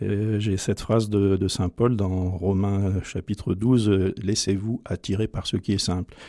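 On a very clean recording with a silent background, a man speaks fairly slowly in a dark, mellow tone, with a dry, close sound and no echo. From France, Drôme. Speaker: priest. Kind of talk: personal testimony. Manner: halting.

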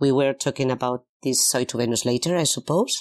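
Moderate pace in a Spanish accent, with music in the background. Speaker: singer in a pop duo. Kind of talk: interview. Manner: halting.

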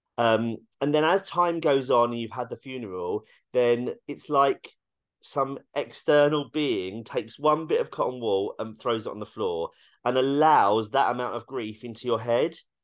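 Against a quiet background, a man talks with a British accent and medium pitch. His pace is moderate and his pitch variation ordinary. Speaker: actor and dog groomer. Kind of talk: casual interview chat.

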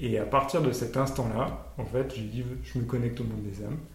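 A man's voice comes with audible room echo. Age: 30s. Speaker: medium and healer. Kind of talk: casual chat.

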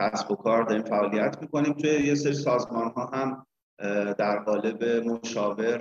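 Speaking at a moderate pace, a man uses an unremarkable speaking voice at medium pitch with fairly even intonation. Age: 40s. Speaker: business consultant and trainer. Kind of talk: interview.

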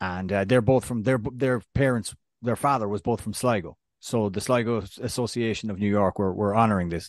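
Over a quiet background, a man with an Irish accent and fairly low pitch speaks at a fairly quick pace with fairly even intonation, the sound dry and close with no echo. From Ireland. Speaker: soccer podcast co-host. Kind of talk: casual chat.

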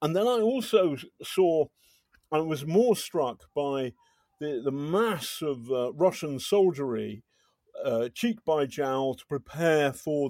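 A man speaks in a dark, mellow tone with an English accent. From Britain. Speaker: journalist, podcast host. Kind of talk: casual chat. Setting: drinking wine while recording. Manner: halting.

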